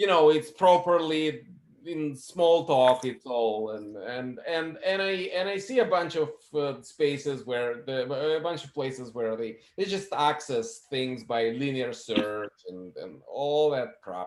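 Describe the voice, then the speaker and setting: Speaking at a very slow pace, a man uses lively intonation and a non-native accent. His volume swings widely. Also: fairly high pitch for a man. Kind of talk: casual chat. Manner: halting.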